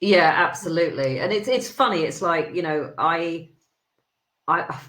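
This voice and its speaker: A woman with a British accent and ordinary pitch variation. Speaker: HR consultant. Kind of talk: podcast interview. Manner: fast; animated.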